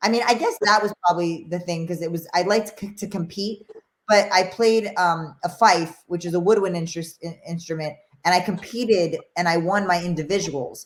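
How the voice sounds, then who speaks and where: A woman in a New York accent, at a moderate pace, with fairly even intonation. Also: medium pitch for a woman. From New York, the Bronx. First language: Spanish. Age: 40s. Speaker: former boxing champion. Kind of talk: interview.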